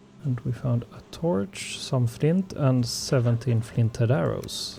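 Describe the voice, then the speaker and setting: Lively intonation at a fairly slow pace, with a Swedish accent and noticeable background noise. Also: man. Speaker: gaming youtuber. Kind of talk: gameplay commentary. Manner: relaxed, cozy; hesitant with fillers.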